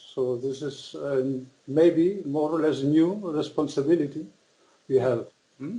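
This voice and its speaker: A man with a German accent speaks in a dark, mellow tone. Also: ordinary pitch variation, fairly slow pace. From Germany (born in Austria). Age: 60s. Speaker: author. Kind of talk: interview. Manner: halting.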